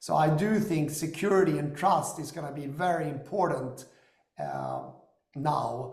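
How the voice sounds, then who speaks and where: Fairly slow, fairly high-pitched speech from a man with vocal fry and an American accent, with audible room echo. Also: ordinary pitch variation. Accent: European American. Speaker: company founder and investor. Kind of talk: business discussion.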